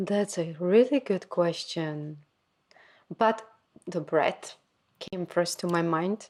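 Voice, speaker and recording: Very slow delivery in a Slovak accent, with long, frequent pauses. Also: woman, fairly low pitch for a woman, ordinary pitch variation. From Slovakia. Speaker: podcast co-host. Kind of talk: casual chat.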